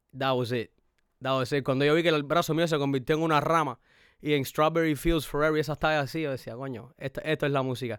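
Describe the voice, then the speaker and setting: A man with a Cuban accent, fairly high pitch, fairly even intonation and a very fast pace. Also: very clean recording, silent background. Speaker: rapper and producer. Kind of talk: casual chat.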